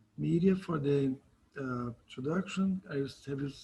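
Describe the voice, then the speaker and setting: A man at a moderate pace with ordinary rises and falls in pitch. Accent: Brazilian. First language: Portuguese. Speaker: cell biology professor. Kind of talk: lecture. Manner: hesitant.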